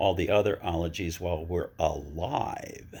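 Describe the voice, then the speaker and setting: At a moderate pace, a man with a very deep, low voice speaks in fairly even intonation over a very clean recording with a silent background. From Vermont. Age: 70s. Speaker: interviewer. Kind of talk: casual chat.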